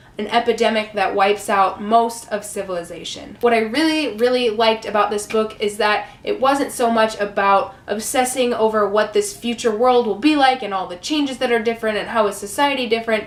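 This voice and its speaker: Over noticeable background noise, a woman talks at a fairly quick pace with hardly any pauses, her fairly high voice keeping a fairly even intonation. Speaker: book reviewer. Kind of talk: casual book review to camera.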